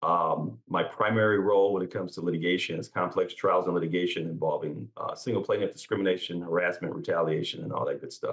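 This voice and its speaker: Barely pausing at all, a man rattles on at a very fast pace. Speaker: labor and employment lawyer. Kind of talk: panel discussion.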